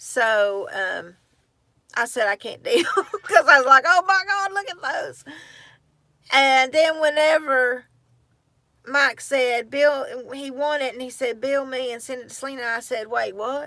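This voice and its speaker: A woman's high, bright and sharp voice in a Southern US accent, raised and projected, with lively intonation, big swings in loudness, long and frequent pauses, and a fairly slow pace. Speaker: livestream host. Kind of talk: casual chat. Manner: halting.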